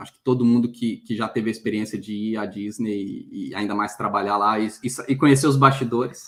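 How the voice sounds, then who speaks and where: Speaking at a fairly quick pace, a man has a medium pitch. His intonation stays fairly even. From Brazil, Minas Gerais (Belo Horizonte). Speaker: headhunter and career mentor. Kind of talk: interview on a live stream.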